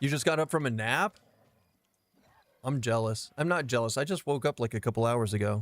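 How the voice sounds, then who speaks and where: A man at medium pitch talks at a fairly quick pace with ordinary pitch variation, very even loudness and long, frequent pauses. The recording is very clean with a silent background and a dry, close sound with no echo. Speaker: game streamer. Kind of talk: live gameplay stream chat. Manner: casual, chatty.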